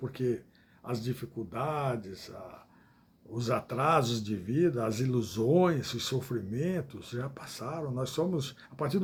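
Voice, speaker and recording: Speaking very slowly, a man sounds somewhat breathy, with lively intonation. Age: 70s. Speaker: evangelical preacher. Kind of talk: livestream sermon. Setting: live stream. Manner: halting.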